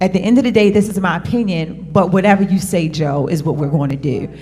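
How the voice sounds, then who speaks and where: A woman with an American accent speaks at a moderate pace, her pitch medium and its variation ordinary. Her voice is somewhat breathy, and the room echo is audible. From Cherry Hill, New Jersey. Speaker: panelist. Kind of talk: panel discussion.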